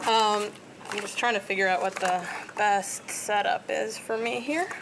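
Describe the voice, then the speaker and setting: There is noticeable background noise as a woman talks. Her pitch is fairly high, her intonation fairly even and her pace moderate. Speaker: professor. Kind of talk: lecture.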